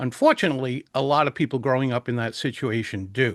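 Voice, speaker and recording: Recorded dry and close with no echo, a man with an American accent and a plain, everyday voice talks at a moderate pace. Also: quiet background. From US Northeast, Providence, Rhode Island. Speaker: public speaking coach. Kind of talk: interview.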